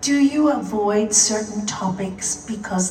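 A woman speaks at a very slow pace in a calm, soothing tone over noticeable background noise. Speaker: meditation teacher. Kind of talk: guided meditation. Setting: live in a room with audience. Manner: slow, calm, soothing; pausing long between questions.

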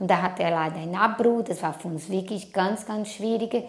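A woman speaks with a Portuguese accent. Her pitch varies in an ordinary way. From Brazil. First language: Portuguese (speaking German). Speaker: immigrant interviewee. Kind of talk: interview.

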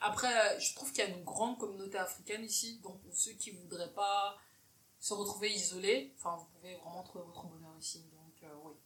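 Over noticeable background noise, a woman speaks at a fairly quick pace with ordinary pitch variation and big swings in loudness. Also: medium pitch for a woman. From Cameroon. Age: 20s. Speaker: podcast host. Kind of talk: casual interview chat. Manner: animated, laughing often.

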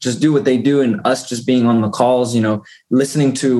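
A man with an unremarkable speaking voice talks at a fairly quick pace. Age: 20s. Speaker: real estate investor. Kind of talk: casual chat.

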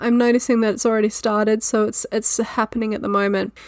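Everything is captured very cleanly against a silent background. The speaker talks with an Australian accent. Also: woman. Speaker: podcast host. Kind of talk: solo educational talk. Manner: casual, laughing at times.

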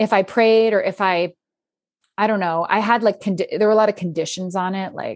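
In a normal speaking voice, a woman with an American accent talks at a fairly quick pace and medium pitch, her sound dry and close with no echo against a quiet background. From US, Philadelphia area. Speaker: author and podcaster. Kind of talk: casual chat.

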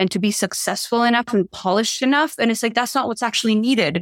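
A woman with a slight Spanish accent speaks with ordinary pitch variation in a dry, close sound with no echo. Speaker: leadership and visibility coach. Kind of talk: casual interview chat. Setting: remote video call.

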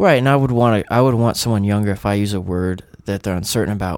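A man with an unremarkable speaking voice talks at a fairly quick pace and fairly low pitch, showing ordinary pitch variation. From US South. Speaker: counselor. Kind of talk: casual chat.

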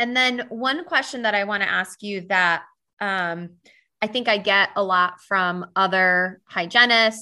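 A woman talks with a bright, sharp tone. The background is quiet. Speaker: podcast host and myofunctional therapist. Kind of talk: interview. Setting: at home.

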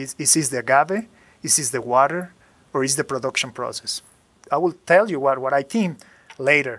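Recorded very cleanly against a silent background, a man with a Spanish accent speaks at a moderate pace with lively intonation. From Mexico, Jalisco. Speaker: master distiller. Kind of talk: interview. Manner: halting.

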